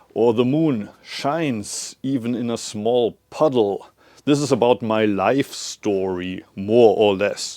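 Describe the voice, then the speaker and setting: The voice has a German accent and a dark, mellow tone, moving at a very slow pace. Its pitch variation is ordinary, and the background is quiet. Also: man, medium pitch for a man. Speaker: Zen abbot and author. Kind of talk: casual talk to camera. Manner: hesitant with fillers.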